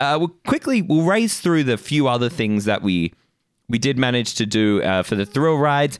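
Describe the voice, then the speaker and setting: With very wide pitch swings around a medium pitch, a man with an Australian accent talks at a moderate pace and very even loudness. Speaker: podcast co-host. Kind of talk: casual chat.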